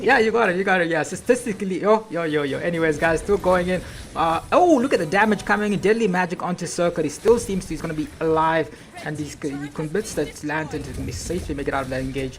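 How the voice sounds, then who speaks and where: Lively intonation carries this very fast speech over noticeable background noise. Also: woman, fairly low pitch for a woman. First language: not English. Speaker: esports caster. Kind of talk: live commentary. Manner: animated.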